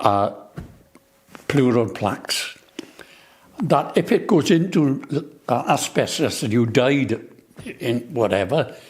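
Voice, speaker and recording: A man's fairly high voice in a Swansea accent, very slow, with lively intonation and long, frequent pauses. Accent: Welsh English (Swansea). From Wales, Swansea. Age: 80s+. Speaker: asbestos compensation campaigner. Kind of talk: interview. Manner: halting, repetitive.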